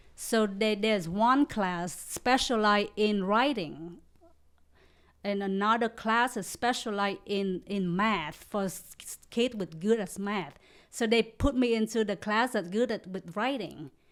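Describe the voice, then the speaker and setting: A woman speaks at a fairly slow pace with a Vietnamese accent and ordinary pitch variation. The recording is very clean, with a silent background. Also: medium pitch for a woman. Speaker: comedian. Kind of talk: casual chat. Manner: halting.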